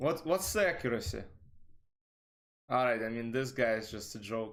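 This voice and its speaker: The delivery has lively intonation at a moderate pace. Room echo is audible. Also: man, medium pitch for a man. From Russia. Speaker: chess streamer. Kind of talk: live stream commentary. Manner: casual, chatty.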